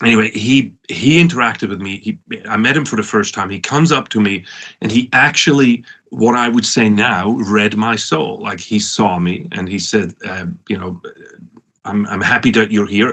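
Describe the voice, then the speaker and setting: In a Swiss accent, a man speaks at a moderate pace with a fairly low pitch and ordinary pitch variation. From Switzerland, Lucerne area. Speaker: professor and former entrepreneur. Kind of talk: conference talk. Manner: halting, many repetitions.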